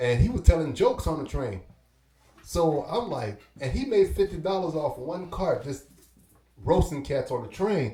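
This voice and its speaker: This man has an American accent and a fairly high pitch, speaking at a moderate pace. His pitch swings very widely, and his loudness rises and falls a lot. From Brooklyn, New York and Belize. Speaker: hip-hop artist and DJ. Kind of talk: casual interview storytelling.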